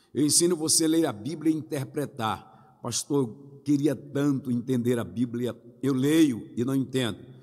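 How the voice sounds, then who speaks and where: A man speaks at a fairly slow pace with hardly any pauses. His medium-pitched voice has a dark, mellow tone and ordinary pitch variation. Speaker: pastor. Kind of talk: sermon.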